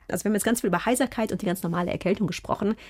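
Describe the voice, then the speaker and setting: Somewhat breathy and enthusiastic, a woman speaks at a medium pitch on a very clean recording with a silent background. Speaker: podcast host, scientist. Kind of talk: interview podcast.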